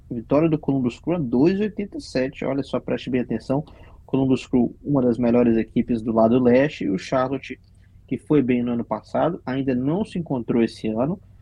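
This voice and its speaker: A man speaks at a medium pitch. His pitch rises and falls in an ordinary way. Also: moderate pace. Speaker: podcast host. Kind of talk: casual sports chat.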